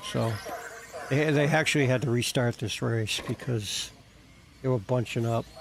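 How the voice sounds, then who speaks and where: A man with a New Jersey accent, medium in pitch, with ordinary pitch variation and a fairly slow pace. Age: 50s. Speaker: RC car hobbyist streamer. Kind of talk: casual live stream chat. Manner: halting, repeats words.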